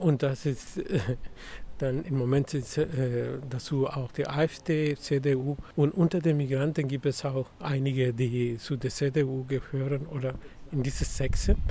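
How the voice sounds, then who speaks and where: A man's somewhat breathy, dark, mellow voice, fairly high in pitch, at a very slow pace with fairly even intonation. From Mexico. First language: Spanish (speaking German). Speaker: migrant rights activist. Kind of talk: interview. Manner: halting.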